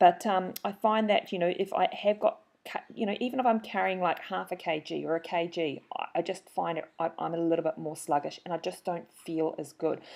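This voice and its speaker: A woman's fairly low voice at a fairly quick pace, with hardly any pauses and ordinary pitch variation. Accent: New Zealand. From New Zealand. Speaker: marathon runner and trainer, webinar host. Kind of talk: webinar introduction. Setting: online webinar. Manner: animated.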